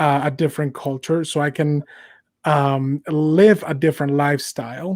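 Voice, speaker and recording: With a Mexican accent, a man speaks at a moderate pace in a fairly high pitch and fairly even intonation, the sound dry and close with no echo on a very clean recording against a silent background. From Mexico. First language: Spanish. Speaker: podcast host. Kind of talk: casual political discussion. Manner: halting, many fillers.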